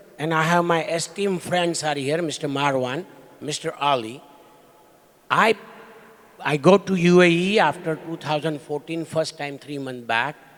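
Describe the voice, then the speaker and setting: Against noticeable background noise, a man speaks at a moderate pace in a fairly high voice with ordinary pitch variation, leaving long, frequent pauses. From India. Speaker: investor. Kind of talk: panel discussion. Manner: loud.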